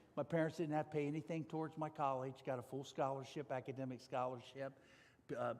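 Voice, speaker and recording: Someone with an American accent talks very fast in a monotone, flat intonation. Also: man, fairly high pitch for a man. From US Midwest, Ohio (north of Cincinnati). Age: 60s. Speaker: corporate executive and speaker. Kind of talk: testimony talk at church.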